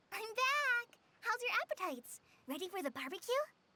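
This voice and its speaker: A woman's put-on character voice, squeaky and extremely high-pitched, at a fairly quick pace. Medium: video game. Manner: bright, eager.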